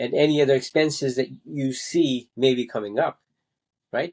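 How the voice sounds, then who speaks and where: With a normal speaking voice, a man talks at a moderate pace and a fairly high pitch, with fairly even intonation and a dry, close sound with no echo. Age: 60s. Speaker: podcast host. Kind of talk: solo advice monologue. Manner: measured, with fillers and restarts.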